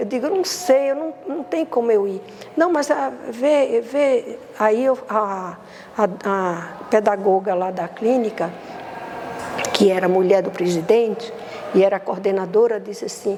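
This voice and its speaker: Long, frequent pauses break up a woman's speech at a fairly slow pace. Her pitch is fairly high, and there is noticeable background noise. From Brazil, Recife. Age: 70s. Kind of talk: interview testimony. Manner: halting, repetitive.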